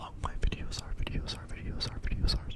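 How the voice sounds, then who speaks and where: Someone whispers over noticeable background noise. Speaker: ASMR creator; apprentice plumber. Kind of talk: ASMR whisper talk. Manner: whispered; repeats trigger words.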